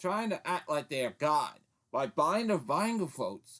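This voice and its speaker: The tone is angry and animated, with lively intonation. The pace is fairly slow. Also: man. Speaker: political commentator. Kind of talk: political rant. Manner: stuttering; angry, animated.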